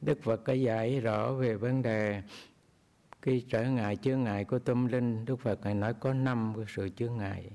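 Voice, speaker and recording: Fairly slow and fairly even in intonation, a man of medium pitch speaks in a dark, mellow tone. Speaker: Buddhist monk teacher. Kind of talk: dharma talk.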